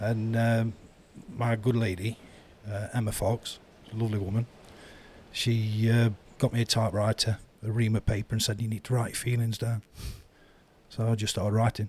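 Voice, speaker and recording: With an East Midlands accent, a man talks at a moderate pace and medium pitch in a monotone, flat intonation, sounding somewhat breathy and leaving long, frequent pauses. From Eastwood, Nottinghamshire, England. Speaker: author. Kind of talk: casual interview chat.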